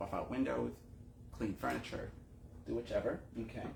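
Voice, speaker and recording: A man at a moderate pace, with audible room echo. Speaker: window cleaning business owner and talk show host. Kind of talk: casual monologue. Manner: casual, halting with repetitions. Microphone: earbud mic, bad audio.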